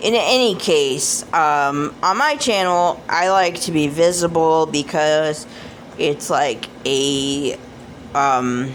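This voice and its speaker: Over noticeable background noise, a woman with an American accent speaks very slowly in a very deep, low voice with ordinary pitch variation. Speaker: oracle card deck reviewer. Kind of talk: casual video review. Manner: hesitant, many fillers.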